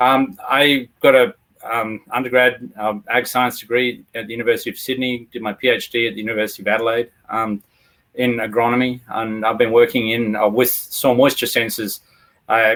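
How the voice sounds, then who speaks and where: Monotone, flat intonation in an Australian accent at a moderate pace. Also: man, medium pitch for a man. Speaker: agronomist. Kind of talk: webinar self-introduction.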